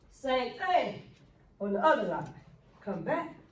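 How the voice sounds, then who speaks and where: An animated woman's voice with very wide pitch swings and a moderate pace, set in audible room echo. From Michigan, Flint. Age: 60s. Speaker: motivational speaker. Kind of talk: motivational talk. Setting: talk to a basketball team.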